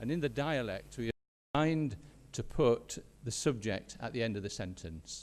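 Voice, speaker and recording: A man with a Yorkshire accent, medium pitch, lively intonation and a fairly slow pace. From Yorkshire, northern England. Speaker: education professor. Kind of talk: conference keynote talk. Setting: stage with audience. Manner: halting, with repetitions.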